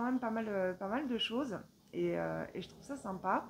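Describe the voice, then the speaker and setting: A woman uses a fairly high pitch and takes her words at a fairly slow pace. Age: 40s. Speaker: knitting vlogger. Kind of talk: casual vlog monologue. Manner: hesitant, many filler sounds.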